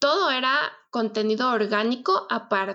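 A woman with an unremarkable speaking voice talks at a fairly slow pace. Her fairly high pitch shows ordinary variation. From Mexico City. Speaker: wedding planner. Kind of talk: casual chat.

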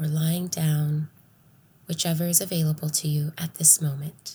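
At a fairly slow pace, a woman speaks in a soothing, calm, dark and mellow tone, fairly low in pitch and somewhat breathy. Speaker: podcast host and meditation guide. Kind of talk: guided meditation. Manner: slow, soft, soothing, calm and nurturing.

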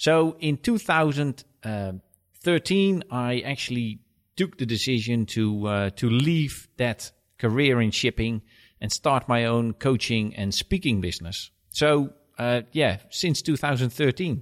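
With a Dutch accent, a man of medium pitch speaks fairly slowly and with lively intonation in a dry, close sound with no echo. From Netherlands. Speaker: business coach. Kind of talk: casual interview.

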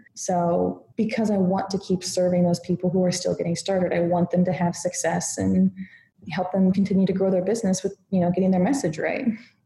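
With an American accent, a woman talks fairly quickly at a medium pitch, her tone dark, mellow and somewhat breathy. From United States. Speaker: content marketer and writer. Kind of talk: interview conversation.

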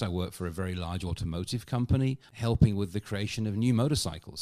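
A man with a British accent speaks at a fairly quick pace with ordinary pitch variation. The recording is very clean, with a silent background. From UK. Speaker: customer experience consultant and comedian. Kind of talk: casual interview conversation.

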